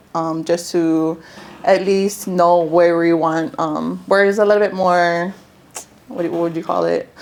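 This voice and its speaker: A woman with a Hawaiian accent, fairly low in pitch, at a fairly slow pace with monotone, flat intonation. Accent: Hawaii local English. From Hawaii, Big Island (Hilo side). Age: 20s. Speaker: real estate investor. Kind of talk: workshop testimony. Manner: hesitant, many fillers.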